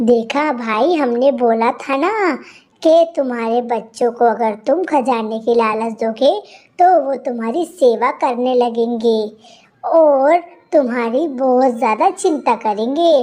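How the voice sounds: In a cartoonish character voice that sounds female, the speaker talks at a high pitch and a very slow pace.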